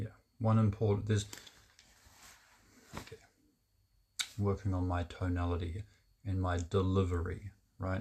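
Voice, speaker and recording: A man's resonant, somewhat breathy voice sits at a fairly low pitch and keeps a monotone, flat intonation. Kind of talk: casual monologue to camera. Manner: halting, with fillers and restarts; deliberately lowered, resonant voice.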